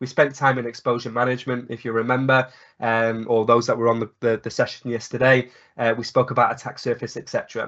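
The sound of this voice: At a fast pace, a man speaks in a fairly bright tone at medium pitch with little pitch movement.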